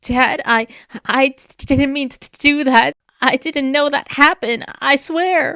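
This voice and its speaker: In a put-on character voice, the speaker talks high and shaky at a fairly slow pace. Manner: anxious, apologetic, pleading.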